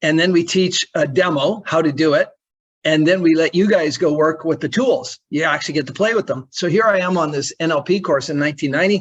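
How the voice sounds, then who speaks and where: Fairly high-pitched for a man, this plain, everyday voice moves at a fairly quick pace with ordinary pitch variation. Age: 60s. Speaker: NLP trainer and coach. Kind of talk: testimony. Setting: video call. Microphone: on iPhone hotspot.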